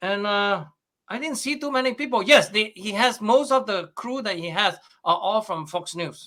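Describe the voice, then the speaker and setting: Raised and projected, a man's high-pitched voice has a bright, sharp tone and lively intonation at a moderate pace in a very clean recording with a silent background. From Malaysia. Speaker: astrophysicist. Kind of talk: interview.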